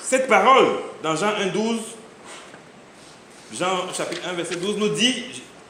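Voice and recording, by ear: Strong room echo surrounds a man whose high-pitched voice has a bright, sharp tone, lively intonation and a fairly slow pace.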